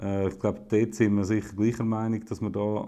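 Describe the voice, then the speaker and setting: A man's very fast, monotone delivery, flat in intonation, with a dark, mellow tone and fairly low pitch. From Switzerland, eastern (St. Gallen, Wil). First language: Swiss German (speaking German). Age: 30s. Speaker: politician. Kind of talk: casual conversation.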